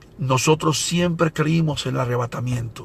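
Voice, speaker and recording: Somewhat breathy and animated, a man speaks at a moderate pace. His pitch sits fairly high. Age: 60s. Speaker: evangelist preacher. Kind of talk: sermon.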